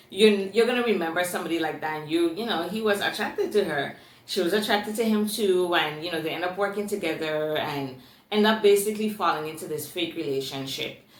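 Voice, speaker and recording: A woman with an American accent talks at a very fast pace in a medium-pitched, animated tone, with audible room echo and noticeable background noise. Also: ordinary pitch variation. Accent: Virgin Islands accent, noticed by commenters. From US Virgin Islands, Saint Thomas. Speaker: booktuber. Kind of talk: book review.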